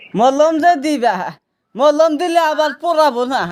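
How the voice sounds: The speaker keeps a moderate pace with ordinary pitch variation. The tone is slightly mellow. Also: woman, high pitch for a woman.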